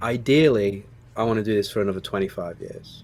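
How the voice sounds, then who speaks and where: Speaking with a Staffordshire accent, a man with a fairly low pitch talks at a moderate pace. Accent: Stoke-on-Trent. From England, Stoke-on-Trent. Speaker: screenwriter and producer. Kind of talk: interview.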